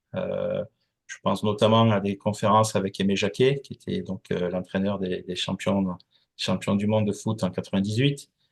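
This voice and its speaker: A man's fairly low voice at a moderate pace, fairly even in intonation, with a dry, close sound and no echo. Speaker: company founder and association president. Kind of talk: interview. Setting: podcast. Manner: hesitant, many fillers.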